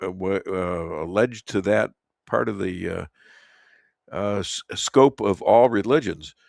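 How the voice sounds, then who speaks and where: In a dry, close sound with no echo, the speaker talks at a fairly slow pace with a Chicago accent. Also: man, very clean recording, silent background. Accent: Chicago American. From Chicago, US Midwest. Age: 70s. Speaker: talk radio host. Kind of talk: radio interview. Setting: studio. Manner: halting.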